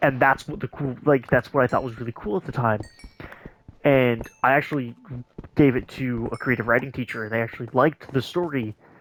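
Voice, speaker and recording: This man has a medium-pitched voice and talks at a fairly quick pace. Noticeable noise runs in the background. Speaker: gaming streamer. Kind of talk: casual chat. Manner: halting.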